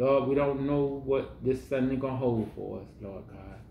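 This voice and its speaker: A man speaks with audible room echo. Light background noise sits behind him. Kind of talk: prayer. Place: home room. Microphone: camera far.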